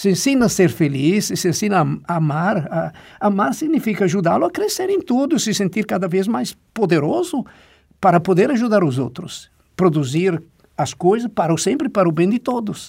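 On a very clean recording with a silent background, the voice moves at a moderate pace with very wide pitch swings. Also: man, high pitch for a man. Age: 70s. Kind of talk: interview.

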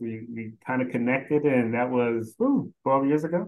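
With an American accent, a man speaks in a normal speaking voice at medium pitch and a moderate pace. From Philadelphia and South Carolina. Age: 50s. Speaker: staffing executive. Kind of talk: casual interview.

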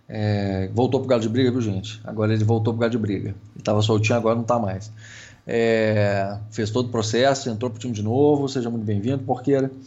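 A man's medium-pitched voice at a fairly quick pace, monotone and flat in intonation, with audible room echo. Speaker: podcast co-host, airsoft player. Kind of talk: casual chat.

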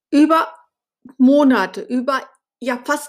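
The recording of this woman talking is very clean, with total silence behind her. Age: 50s. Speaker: podcast host, blogger. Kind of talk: personal monologue. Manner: hesitant, with fillers.

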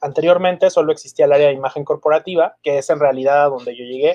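Fairly high in pitch, a man speaks at a fairly quick pace. His pitch variation is ordinary. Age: 40s. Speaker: marketing and PR executive. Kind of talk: interview. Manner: halting, many repetitions and fillers.

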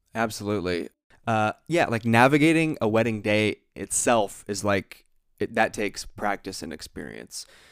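An unremarkable speaking voice with an American accent, moderate pace and lively intonation, in a very clean recording with a silent background. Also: man, fairly low pitch for a man. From Ohio, US. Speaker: podcast host, wedding photographer. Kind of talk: casual chat. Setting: home office.

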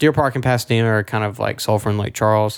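With an American accent, this man has an unremarkable speaking voice at medium pitch and fairly even intonation. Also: very clean recording, silent background. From Houston area, Texas. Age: 20s. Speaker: podcast host, worship musician. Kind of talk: casual chat.

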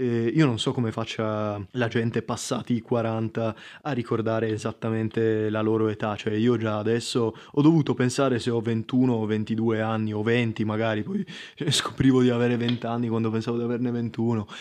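At a moderate pace, a man talks in a flat monotone. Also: medium pitch for a man. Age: 20s. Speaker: podcast host. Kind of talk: casual monologue. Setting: at home.

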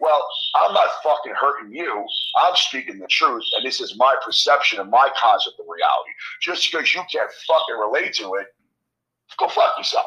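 A man with a New York accent at a moderate pace. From New York, Queens. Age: 40s. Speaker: bodybuilder and gym owner. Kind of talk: casual chat.

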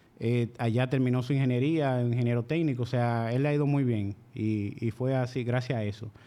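A man with a Dominican accent speaks in a dark, mellow tone at medium pitch, with fairly even intonation and very even loudness. His pace is moderate, with hardly any pauses. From Dominican Republic, La Vega province (rural). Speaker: machine shop owner. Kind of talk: casual interview.

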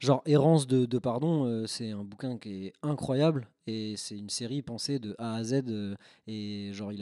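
A moderate pace, a dark, mellow tone, ordinary pitch variation and big swings in loudness, on a very clean recording with a silent background. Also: man. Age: 30s. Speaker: film photographer and photo lab technician. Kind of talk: casual chat.

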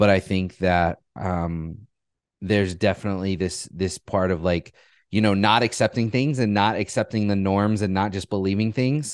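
In a plain, everyday voice, a man speaks at a fairly low pitch and a moderate pace, with a dry, close sound and no echo. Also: ordinary pitch variation, quiet background. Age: 30s. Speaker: entrepreneur. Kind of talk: casual interview.

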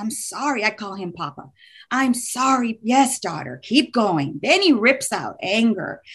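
A creaky vocal fry runs through this fairly slow delivery in an American accent. Pitch swings very widely and loudness rises and falls sharply. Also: woman, fairly high pitch for a woman. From Texas, Houston. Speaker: business owner sharing faith story. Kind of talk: testimony.

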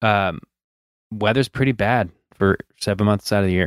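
A man with a normal speaking voice speaks in a fairly low pitch with ordinary pitch variation, in a dry, close sound with no echo. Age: 30s. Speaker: motocross podcast co-host, amateur rider. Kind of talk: casual chat. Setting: home basement, video call.

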